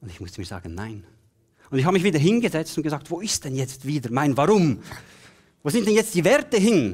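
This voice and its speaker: A man talks at a fairly quick pace with vocal fry and very wide pitch swings. Long, frequent pauses break his speech against a quiet background. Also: big swings in loudness. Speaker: keynote speaker and coach; keynote speaker, coach. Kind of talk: keynote speech. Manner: animated. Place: stage. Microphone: headset.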